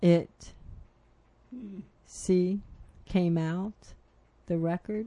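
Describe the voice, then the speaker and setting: Somewhat breathy and dark, mellow in tone, a woman speaks very slowly with fairly even intonation and long, frequent pauses. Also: medium pitch for a woman. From Philadelphia, US. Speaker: radio show host. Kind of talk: interview.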